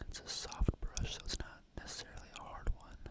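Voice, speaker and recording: Whispering in a relaxed tone, the speaker keeps a moderate pace. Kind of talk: whispered ASMR product review. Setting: close-mic ASMR recording. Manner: whispered, soft, relaxed.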